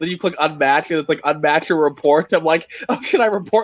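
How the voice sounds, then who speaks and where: Animated and fairly quick, this man talks in a high voice for a man. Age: 20s. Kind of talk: casual chat. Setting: live stream.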